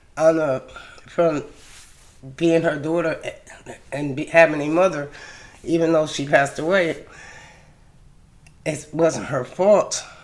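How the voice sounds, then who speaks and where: A woman with an American accent speaks at a fairly slow pace with a very deep, low pitch. Her intonation is fairly even, with long, frequent pauses. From US East Coast, Delaware. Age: 60s. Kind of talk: personal testimony.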